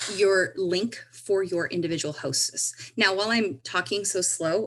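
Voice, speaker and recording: A woman's voice at a medium pitch. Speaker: direct sales consultant demonstrating software. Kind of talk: screen-share tutorial. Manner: slow; halting.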